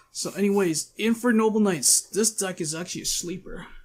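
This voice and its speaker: A man talks in a high voice while music runs behind him. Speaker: gaming video creator. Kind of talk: casual talk to camera. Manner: casual, hesitant.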